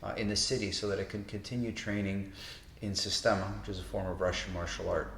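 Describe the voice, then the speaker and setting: Fairly low-pitched male speech with vocal fry at a moderate pace, in audible room echo. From Toronto, Canada. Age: 50s. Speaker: martial arts instructor. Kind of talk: interview monologue. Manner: casual, with fillers.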